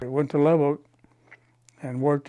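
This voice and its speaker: A man's medium-pitched voice in a West Texas accent, with monotone, flat intonation. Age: 80s+. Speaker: banker. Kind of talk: interview answer.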